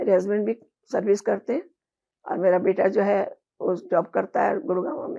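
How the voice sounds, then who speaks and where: Moderate pace, ordinary pitch variation and a dark, mellow tone. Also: woman, medium pitch for a woman. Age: 70s. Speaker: patient sharing health experience. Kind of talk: interview. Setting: at her home.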